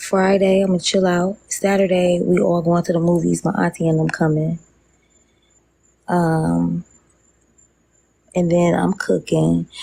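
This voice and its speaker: Whispering at a fairly slow pace, a woman keeps her loudness very even and leaves long, frequent pauses. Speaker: social media livestreamer. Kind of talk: casual live stream chat. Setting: outdoors on a lanai, live stream. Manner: whispering, talking low.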